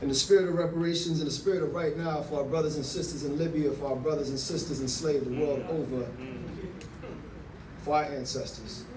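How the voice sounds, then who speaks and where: Over noticeable background noise, a man talks very fast in a fairly high voice with fairly even intonation. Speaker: spoken word poet. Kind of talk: introduction to a live audience. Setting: live event venue.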